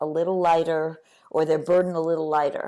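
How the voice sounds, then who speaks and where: This is a woman speaking with an American accent. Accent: New York, lessened when around actors. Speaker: author and attorney. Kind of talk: interview.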